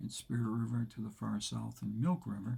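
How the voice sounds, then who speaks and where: In an American accent, a man with a fairly low pitch and a dark, mellow tone speaks at a moderate pace, somewhat breathy, with fairly even intonation. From Provincetown, Massachusetts, US. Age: 80s+. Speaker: retired school principal. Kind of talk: casual talk to camera.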